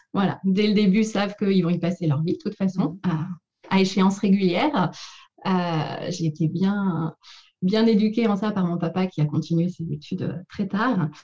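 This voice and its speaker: A woman talks at a fairly slow pace, somewhat breathy. Her tone is dark and mellow, with ordinary pitch variation. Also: medium pitch for a woman. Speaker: speech therapist and doctoral researcher. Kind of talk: interview. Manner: halting with many repetitions.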